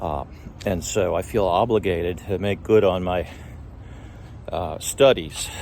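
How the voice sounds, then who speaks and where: With long, frequent pauses, a man speaks at a very deep, low pitch and ordinary pitch variation. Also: fairly slow pace. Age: 60s. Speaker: life group leader. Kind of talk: spiritual talk. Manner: halting with fillers.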